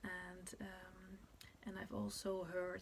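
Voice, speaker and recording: A somewhat breathy woman's voice at a medium pitch, with a Dutch accent. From Netherlands. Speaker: birth preparation teacher. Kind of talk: tutorial. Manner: halting.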